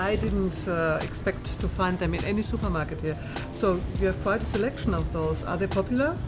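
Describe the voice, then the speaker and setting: Speech at a moderate pace over background music. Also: woman. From Germany. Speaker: chef and cooking show host. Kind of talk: cooking show host, casual talk to camera. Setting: indoors at a gourmet food market.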